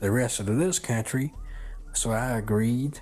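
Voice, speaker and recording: A man's medium-pitched voice with a Southern US accent at a fairly slow pace. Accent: American Southern. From China. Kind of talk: personal story told in interview.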